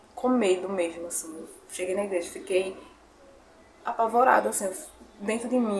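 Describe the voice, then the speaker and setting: A woman's medium-pitched voice at a fairly quick pace, with fairly even intonation and noticeable background noise. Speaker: YouTuber. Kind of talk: testimony. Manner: emotional.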